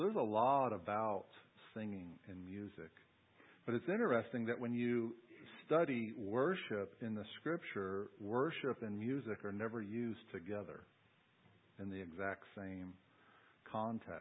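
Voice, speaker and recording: With an American accent, a man talks at a fairly slow pace in a fairly low pitch, using ordinary pitch variation and long, frequent pauses. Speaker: pastor. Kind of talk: sermon. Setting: church.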